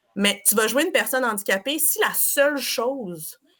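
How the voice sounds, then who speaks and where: A woman with a strong Quebec accent, an animated tone, lively intonation, a fairly high pitch and a moderate pace. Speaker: improv performer and teacher. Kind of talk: podcast discussion.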